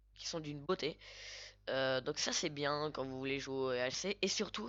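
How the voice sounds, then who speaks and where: A woman with a very deep, low pitch takes her time, talking at a fairly slow speed. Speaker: Minecraft YouTuber. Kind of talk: gameplay voice-over commentary. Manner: hesitant, many fillers.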